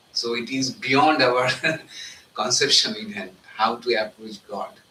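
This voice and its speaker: A man in a Bengali accent at a fairly slow pace, medium in pitch with very wide pitch swings, against noticeable background noise. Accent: Bengali Indian English. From India, Bengal. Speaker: monk giving spiritual talk. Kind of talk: spiritual talk. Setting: live talk with audience.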